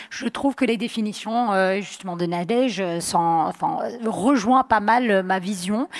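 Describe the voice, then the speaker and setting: Noticeable background noise sits behind a voice with ordinary pitch variation and a dry, close sound with no echo. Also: woman. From US, Vermont. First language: English (speaking French). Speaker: mountain athlete. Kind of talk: panel discussion. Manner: hesitant, many fillers.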